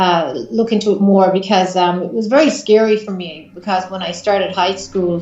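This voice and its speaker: The speaker has an Irish accent and ordinary pitch variation at a moderate pace. Audible room echo surrounds the voice. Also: woman. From Ireland. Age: 40s. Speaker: psychic medium. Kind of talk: interview. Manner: hesitant, many fillers.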